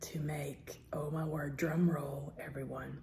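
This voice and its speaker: With vocal fry and a very deep, low pitch, a woman speaks in a monotone, flat intonation. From Southern US. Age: old. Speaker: ASMR eating creator. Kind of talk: casual talk to camera.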